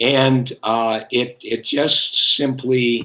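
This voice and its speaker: A man's bright, sharp tone at a medium pitch. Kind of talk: casual discussion. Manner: halting.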